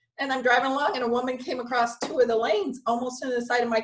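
A woman with an American accent, very fast and high-pitched, over light background noise. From US Midwest, Michigan. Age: 40s. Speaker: spiritual channeler and energy healer; podcast guest. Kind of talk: casual interview chat. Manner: giggly. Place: home room. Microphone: video call.

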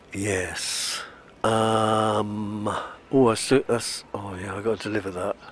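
Speaking very slowly in a British accent, a man has a fairly low pitch. His intonation is monotone and flat, and there is noticeable background noise. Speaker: gaming video creator. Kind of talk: casual gameplay commentary. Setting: home recording, playing on console.

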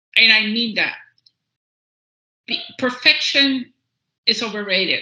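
The speaker has a Cuban accent and ordinary pitch variation. The pace is fairly slow. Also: woman, fairly high pitch for a woman. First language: Spanish. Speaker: executive panelist. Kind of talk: panel discussion.

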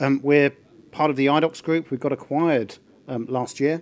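Intonation holds fairly even. The delivery moves at a fairly quick clip. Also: man. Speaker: conference presenter. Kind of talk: conference talk. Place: hall.

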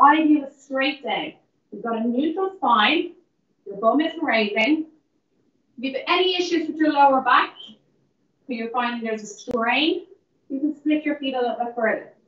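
Speaking at a moderate pace with long, frequent pauses, a high-pitched woman uses lively intonation and big swings in loudness amid audible room echo. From Ireland. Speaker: fitness instructor. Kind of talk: live-streamed guided Pilates and breathing cool-down class. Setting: in the gym, streamed live via call. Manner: encouraging, repetitive counting down of reps. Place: gym. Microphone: camera far.

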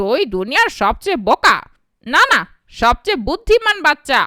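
A cartoonish character voice, high in pitch with very wide pitch swings at a moderate pace. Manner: blustering, pompous.

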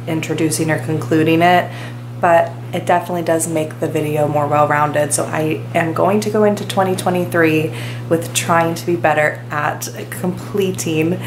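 There is noticeable background noise as a woman with a very deep, low pitch talks at a moderate pace with ordinary pitch variation. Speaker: vlogger. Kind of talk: casual vlog chat. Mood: warm, relaxed. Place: home room. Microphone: phone near.

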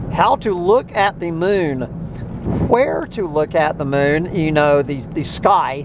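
Spoken at a very slow pace, the voice has a dry sound with no echo and noticeable background noise. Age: 60s. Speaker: farm owner and video blogger. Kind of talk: casual rant monologue. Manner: halting with many fillers and repetitions. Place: car. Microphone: phone near.

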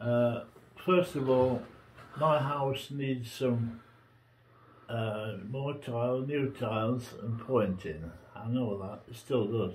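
A man at medium pitch, somewhat breathy, at a very slow pace with long, frequent pauses. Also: ordinary pitch variation. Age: 80s+. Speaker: pensioner. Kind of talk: testimony. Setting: at home. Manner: halting.

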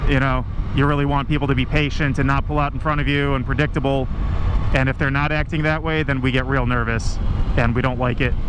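A man speaks very fast at a very even loudness, the sound dry with no echo and noticeable background noise behind him. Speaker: physician assistant student motovlogger. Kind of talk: casual vlog chat. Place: motorbike. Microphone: helmet.

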